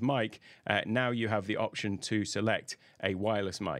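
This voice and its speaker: Over a quiet background, a man with an unremarkable speaking voice talks at a fairly low pitch with fairly even intonation. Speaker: audio gear reviewer. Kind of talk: tutorial. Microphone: studio mic.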